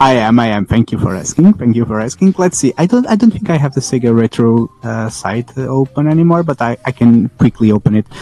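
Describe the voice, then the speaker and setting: A man with a non-native accent talks at a fairly quick pace with lively intonation. The sound is dry and close with no echo, though noticeable background noise is present. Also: medium pitch for a man. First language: not English. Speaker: guest who requested the episode topic. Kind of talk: casual chat. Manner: tired, rambling.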